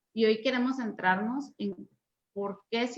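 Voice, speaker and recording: Female speech of moderate tempo and ordinary pitch variation. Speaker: webinar moderator. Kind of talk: online panel discussion. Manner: loud. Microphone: too quiet when leaning back from laptop.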